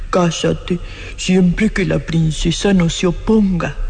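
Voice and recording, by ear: Using a put-on character voice, a woman talks at a medium pitch and a fairly slow pace over noticeable background noise.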